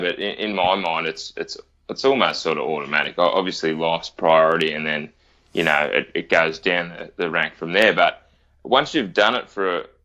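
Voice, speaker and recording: A man talks with an Australian accent. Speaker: firefighter. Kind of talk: interview answer.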